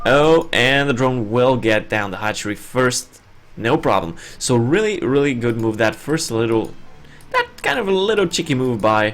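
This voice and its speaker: A man at medium pitch with a non-native accent, lively intonation and a moderate pace, music in the background. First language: not English. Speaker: esports caster. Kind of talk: live commentary.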